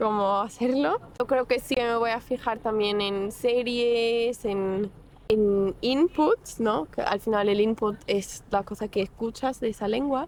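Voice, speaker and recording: In a Portuguese accent, a woman speaks at a very slow pace. Her fairly high voice shows ordinary pitch variation. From Portugal, Porto. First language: Portuguese (speaking Spanish). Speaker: psychology student, language learner. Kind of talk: interview.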